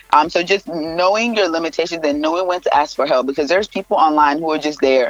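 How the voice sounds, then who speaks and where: Speech races along at a very fast pace with noticeable noise in the background. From Nigeria. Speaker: mental health counselor. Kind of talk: interview answers, casual advice chat. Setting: radio studio interview.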